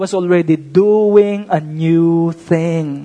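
A man speaks with a Filipino accent. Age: 30s. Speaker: pastor. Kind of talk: sermon. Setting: church.

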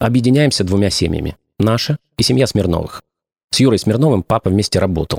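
A man speaks with an unremarkable speaking voice at medium pitch, fairly quickly and with lively intonation. His loudness is very even, and the sound is dry and close with no echo. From Ukraine. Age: 40s. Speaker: podcast host, former radio and TV presenter. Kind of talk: scripted narration.

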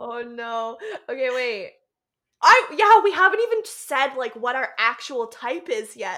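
A woman with a high pitch uses a raised, projected voice at a fairly slow pace, her bright, sharp tone moving through very wide pitch swings and big swings in loudness. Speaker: podcast co-host. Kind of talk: casual chat.

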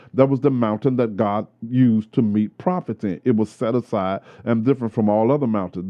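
A man speaks in a normal speaking voice at a medium pitch with ordinary pitch variation. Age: 50s. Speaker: pastor. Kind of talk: casual chat. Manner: preachy.

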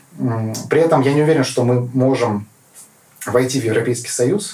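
With ordinary pitch variation, a man speaks at a medium pitch and a moderate pace. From Kazakhstan (Karaganda). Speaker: politician. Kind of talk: interview. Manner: hesitant, many fillers.

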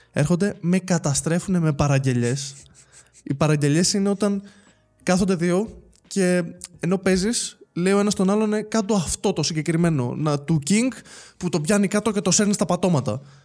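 A high-pitched man at a moderate pace with long, frequent pauses, very even loudness and ordinary pitch variation, on a very clean recording with a silent background. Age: 20s. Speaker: esports world champion, fighting game player. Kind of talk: casual chat. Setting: studio.

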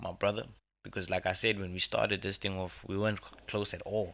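A man speaks with a fairly low pitch and a bright, sharp tone on a very clean recording with a silent background. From South Africa, Kraaifontein (Cape Town). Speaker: rapper and producer. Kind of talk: casual chat.

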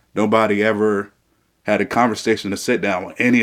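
This man talks in a fairly low voice with a monotone, flat intonation. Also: very clean recording, silent background. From south side of Peoria, Illinois. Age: 20s. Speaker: young political candidate. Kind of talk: interview.

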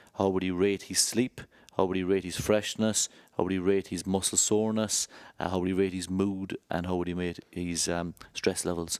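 A man with an Irish accent speaks at a moderate pace in a very deep, low, monotone voice with flat intonation. The sound is dry and close with no echo, a very clean recording with a silent background. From Ireland. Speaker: rugby club head of medical services. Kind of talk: interview.

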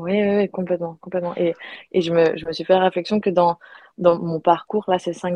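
Delivered in a flat monotone, the speech runs at a fairly quick pace. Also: woman. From Belgium. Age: 20s. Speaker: yoga retreat organizer. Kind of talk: casual interview. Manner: halting, with repetitions.

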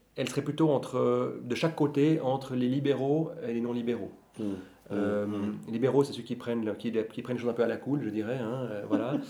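Noticeable background noise accompanies a man whose intonation is fairly even. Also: medium pitch for a man, fairly quick pace. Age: 40s. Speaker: bookseller and law scholar. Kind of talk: casual chat.

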